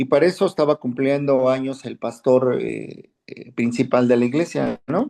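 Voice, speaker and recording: The voice has a dark, mellow tone and moves at a moderate pace. The background is quiet. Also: man. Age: 60s. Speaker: Bible class teacher. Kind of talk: class discussion, personal anecdote.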